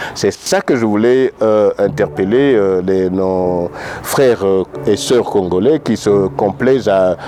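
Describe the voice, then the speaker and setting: Over noticeable background noise, a man with a fairly low pitch speaks very slowly, keeping his loudness very even and his pitch variation ordinary. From DR Congo, Katanga, Lubumbashi. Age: 60s. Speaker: political activist. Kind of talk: interview. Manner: halting.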